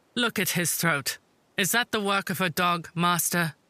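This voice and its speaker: In a put-on character voice, a woman talks at a moderate pace and fairly low pitch with ordinary pitch variation and very even loudness, on a very clean recording with a silent background. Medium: read story. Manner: ironic, insistent.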